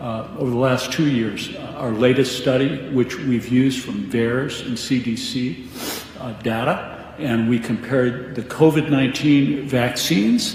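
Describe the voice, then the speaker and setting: A medium-pitched man speaks fairly slowly with fairly even intonation, with noticeable background noise and audible room echo. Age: 70s. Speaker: physician. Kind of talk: radio interview.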